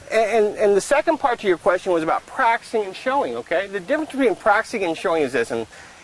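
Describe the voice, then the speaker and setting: A man talks at a very fast pace in a high pitch, with very wide pitch swings and hardly any pauses. Noticeable background noise runs underneath. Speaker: horse trainer, trail clinician. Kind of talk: instructional conversation.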